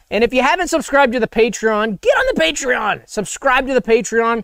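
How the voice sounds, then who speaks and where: At an extremely high pitch, a man speaks in an animated tone with ordinary pitch variation. His pace is moderate, and the sound is dry and close with no echo. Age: 30s. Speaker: live stream co-host. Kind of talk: casual live stream chat. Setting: live stream.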